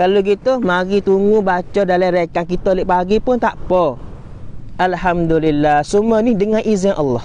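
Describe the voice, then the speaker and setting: A man talks at a high pitch and moderate pace with ordinary pitch variation and very even loudness, the sound dry with no echo. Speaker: Islamic religious teacher; religious teacher. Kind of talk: religious lecture. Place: beach. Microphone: equipment issue, replaced; lapel.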